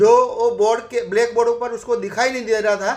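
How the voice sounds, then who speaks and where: The speaker is a man with high pitch. He keeps his intonation fairly even. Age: 60s. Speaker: network marketing member. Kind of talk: testimony. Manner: halting.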